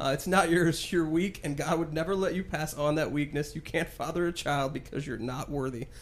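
Fairly high in pitch, a man speaks with an ordinary speaking voice. His pace is fairly quick, with fairly even intonation and hardly any pauses. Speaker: podcast host. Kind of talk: casual chat about a TV show.

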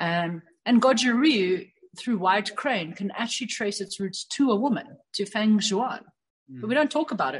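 A woman speaks at a fairly quick pace with a fairly high pitch. Her voice is somewhat breathy. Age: 30s. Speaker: karate instructor. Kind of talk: casual interview conversation.

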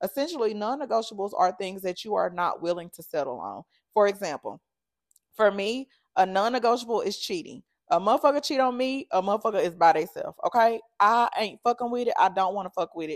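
Lively in intonation and fairly quick, the speech shows big swings in loudness, recorded very cleanly against a silent background with a dry, close sound and no echo. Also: woman, fairly high pitch for a woman. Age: 30s. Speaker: podcast host. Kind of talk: casual monologue. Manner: animated.

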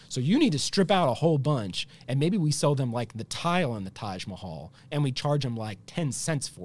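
Vocal fry runs through a man's medium-pitched voice as he talks at a fairly quick pace with very wide pitch swings. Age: 40s. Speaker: healthcare entrepreneur. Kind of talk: interview conversation.

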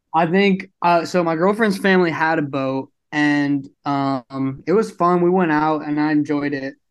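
A man with an American accent talks in a plain, everyday voice, fairly high in pitch with ordinary variation, barely pausing against a quiet background. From Brooklyn, New York. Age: young. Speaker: apparel company founder. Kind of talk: casual interview.

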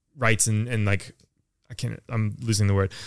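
Here a man speaks with an American accent at a moderate pace. His pitch is medium, and the recording is very clean with a silent background. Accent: American, slightly shifted by London life. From US. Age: 30s. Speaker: YouTube partner manager. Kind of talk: casual podcast chat.

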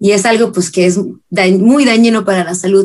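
This woman has a plain, everyday voice of medium pitch and talks at a moderate pace. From northwest Mexico, Ensenada, Baja California. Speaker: singer-songwriter. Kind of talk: interview. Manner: casual.

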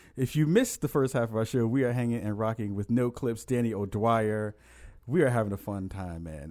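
On a very clean recording with a silent background, a man speaks at a fairly quick pace. His voice is fairly low with a dark, mellow tone and lively intonation. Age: 30s. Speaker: podcast host. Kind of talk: casual chat.

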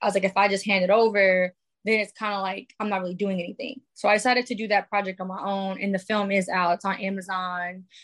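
Very fast and in a flat, monotone delivery, the speaker talks with a New York accent. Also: woman, medium pitch for a woman. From New York, the Bronx. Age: 20s. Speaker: musician and filmmaker. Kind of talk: casual interview.

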